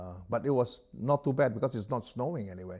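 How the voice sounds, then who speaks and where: The man has a dark, mellow tone that is somewhat breathy, with lively intonation. The recording is very clean, with a silent background. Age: 70s. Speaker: professional darts player. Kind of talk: interview answer.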